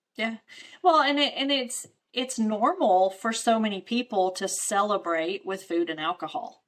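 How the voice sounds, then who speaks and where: At a moderate pace, a woman with a fairly high pitch talks in very wide pitch swings. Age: 40s. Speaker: podcast host. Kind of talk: casual interview. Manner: animated.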